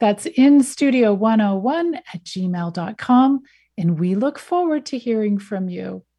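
Very slowly, a woman speaks in a somewhat breathy, dark, mellow tone, her pitch swinging very widely. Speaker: radio host. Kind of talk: interview.

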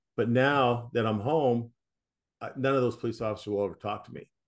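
The pace of this man's speech is fairly quick, and his pitch varies in an ordinary way. Behind him, all is quiet. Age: 60s. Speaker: author, former police officer. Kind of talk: interview testimony. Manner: halting, with repetitions and fillers.

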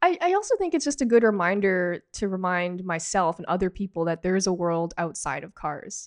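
With a Canadian accent and an unremarkable speaking voice, a woman talks at a medium pitch and a fairly quick pace with hardly any pauses, ordinary pitch variation and big swings in loudness, in a dry, close recording with no echo and a quiet background. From Canada, Toronto area (Markham). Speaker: automotive journalist and editor. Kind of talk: casual interview chat.

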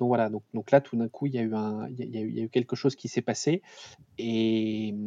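Dry and close with no echo over a quiet background, a man talks at a moderate pace and a medium pitch, with a dark, mellow tone and ordinary pitch variation. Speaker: startup CEO and founder, former autonomous vehicle researcher. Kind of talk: interview. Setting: remote recording from home. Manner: halting, many repetitions and hesitations.

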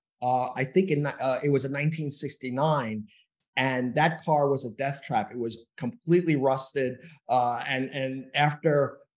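A man with an American accent speaks at a fairly slow pace. His pitch is fairly high, with fairly even intonation. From New York City. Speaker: pathology professor. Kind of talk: interview. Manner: halting, many fillers and repeats.

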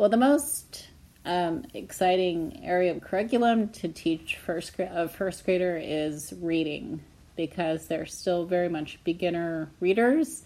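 A woman with a Pacific Northwest accent speaks at a fairly low pitch and a fairly slow pace, with a dark, mellow tone and ordinary pitch variation. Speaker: elementary school teacher. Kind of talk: interview. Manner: hesitant, many fillers.

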